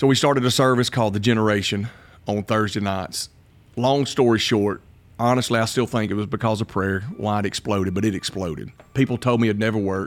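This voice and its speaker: Recorded very cleanly against a silent background, the voice has a Southern US accent and fairly even intonation. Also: man, fairly low pitch for a man, fairly quick pace. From Alabama, US South. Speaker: pastor. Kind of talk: casual interview conversation.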